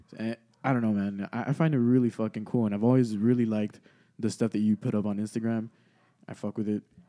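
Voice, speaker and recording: At a very fast pace, a man speaks in a medium pitch with a dark, mellow tone, recorded dry and close with no echo. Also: fairly even intonation. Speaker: podcast host. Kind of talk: casual chat. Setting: studio.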